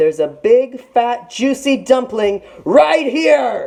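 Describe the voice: Putting on a character voice, a woman speaks slowly at a fairly high pitch, with big pitch swings, a dark, mellow tone and vocal fry.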